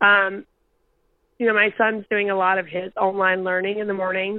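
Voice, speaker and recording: A woman talks at a fairly quick pace in an unremarkable speaking voice. Her pitch sits in the middle range. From US South, rural North Carolina. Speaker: parenting media worker. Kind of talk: casual chat.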